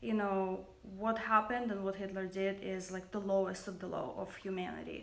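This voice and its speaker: Someone speaks with a Russian accent, with audible room echo around the voice. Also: woman. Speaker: makeup company founder. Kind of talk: livestream monologue. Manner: hesitant, many fillers.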